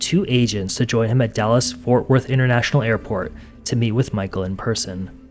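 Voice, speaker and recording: Music plays in the background as a man at medium pitch talks at a moderate pace. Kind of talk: true crime documentary narration.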